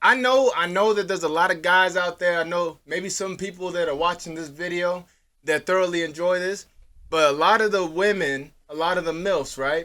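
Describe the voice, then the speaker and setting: Very clean, silent-background recording of a man with a high pitch and an animated, bright, sharp tone. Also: moderate pace. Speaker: podcast co-host. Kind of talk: casual chat.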